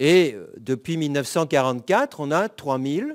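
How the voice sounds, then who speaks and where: In a very clean recording with a silent background and a dry, close sound with no echo, a man speaks at a fairly high pitch. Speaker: law professor. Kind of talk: conference talk. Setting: conference with audience.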